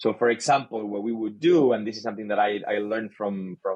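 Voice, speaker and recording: Heard with a dry, close sound and no echo, a man with a Spanish accent talks at a moderate pace in a medium pitch with ordinary pitch variation. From Chile. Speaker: sales leader. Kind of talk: podcast interview. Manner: halting, repeats words.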